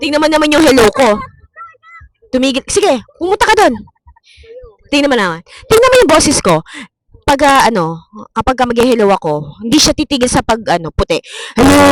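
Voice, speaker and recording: Loud speech broken by long, frequent pauses. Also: fairly quick pace. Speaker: vlogger. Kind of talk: casual chat. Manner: energetic.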